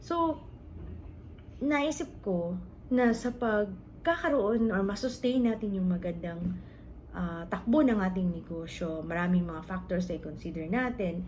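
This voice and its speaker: A woman speaks at a medium pitch with lively intonation and a fairly slow pace. The room echo is audible. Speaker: vlogger and sari-sari store owner. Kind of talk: casual vlog talk giving business advice. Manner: halting, with fillers and repeated words.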